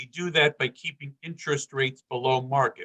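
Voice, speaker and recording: A man's ordinary speaking voice, medium-pitched, at a moderate pace with fairly even intonation. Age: 60s. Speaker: political candidate, former city councilman. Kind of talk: campaign speech.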